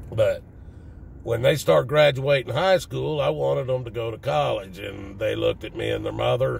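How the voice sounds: This raspy voice, with a Southern US accent and vocal fry, moves at a moderate pace. Its intonation is fairly even. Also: man, medium pitch for a man.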